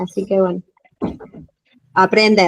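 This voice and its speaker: The delivery is fairly slow, with ordinary pitch variation. It is recorded dry and close, with no echo. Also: woman. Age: 40s. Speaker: teacher and coach, course participant. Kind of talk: self-introduction in online class. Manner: hesitant, many fillers.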